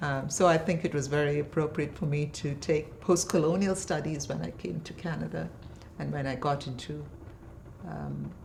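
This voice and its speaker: A woman with a very deep, low pitch and vocal fry speaks at a moderate pace, with audible room echo around her. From India, Bangalore (born in Kerala). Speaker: poet and professor. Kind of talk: interview conversation. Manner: hesitant, many fillers.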